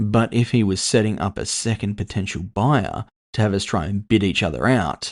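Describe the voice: Plain reading aloud with fairly even intonation comes through, and the background is quiet.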